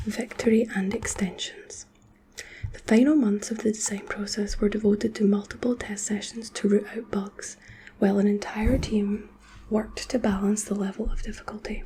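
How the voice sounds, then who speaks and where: There is noticeable background noise as a soft-spoken woman talks at a moderate pace. Her fairly high pitch stays monotone and flat. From Scotland. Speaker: ASMR creator. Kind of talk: sleep reading of a nonfiction book.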